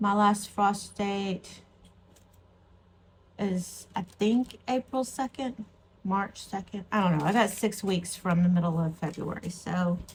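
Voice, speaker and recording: With an American accent, a woman speaks very slowly at a medium pitch. Her voice is somewhat breathy, with ordinary pitch variation. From Texas. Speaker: gardening vlogger. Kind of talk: casual vlog chat. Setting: at home with a cup of tea.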